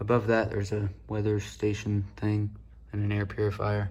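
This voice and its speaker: Soft-spoken, somewhat breathy man with a fairly low pitch. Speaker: radio and weather alert hobbyist. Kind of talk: casual room tour. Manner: quiet, soft-spoken.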